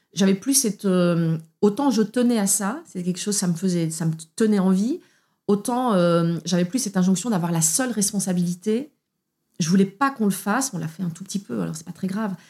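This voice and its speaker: A woman speaks at a fairly quick pace in a somewhat breathy, dark, mellow voice of medium pitch with ordinary pitch variation. The recording is very clean, with a silent background. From Belgium. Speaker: opera singer. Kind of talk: testimony. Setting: at the host's home.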